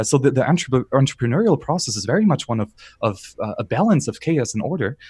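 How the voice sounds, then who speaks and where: A man's very fast, somewhat breathy speech with a German accent, dark and mellow in tone, with very wide pitch swings, in a dry, close sound with no echo over a quiet background. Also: medium pitch for a man. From southern Bavaria, Germany. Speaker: YouTube content creator. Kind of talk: podcast interview.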